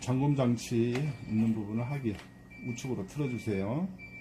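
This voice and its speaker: A man talks at a moderate pace and medium pitch with ordinary pitch variation. He has an unremarkable speaking voice. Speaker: amateur voice actor. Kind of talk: product how-to instructions. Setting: outdoors with traffic noise.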